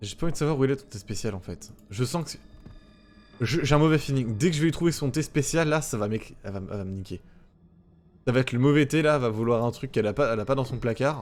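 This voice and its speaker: A man at medium pitch talks very fast with ordinary pitch variation, big swings in loudness and long, frequent pauses. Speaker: gaming streamer. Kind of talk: let's play commentary. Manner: stammering.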